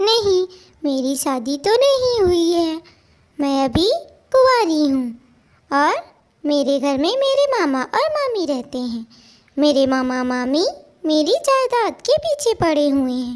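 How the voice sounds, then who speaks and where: This cartoonish character voice sounds squeaky and moves at a fairly slow pace, broken by long, frequent pauses. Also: woman, extremely high pitch for a woman. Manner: gentle, trusting.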